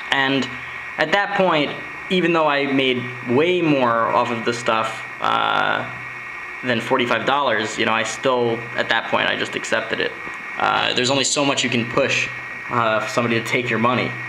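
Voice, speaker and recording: There is noticeable background noise behind a man's voice. He talks at a moderate pace with ordinary pitch variation. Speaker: garage sale reseller. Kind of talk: casual vlog chat. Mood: excited, storytelling. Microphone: phone near.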